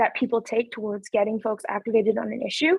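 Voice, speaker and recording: With an unremarkable speaking voice, a woman holds a fairly high pitch and fairly even intonation. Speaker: city councillor. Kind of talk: webinar presentation. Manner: many filler words (um).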